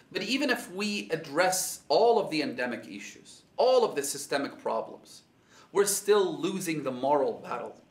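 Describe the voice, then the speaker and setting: Man speaking at a moderate pace, with audible room echo. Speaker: speaker. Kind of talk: sermon. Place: home room.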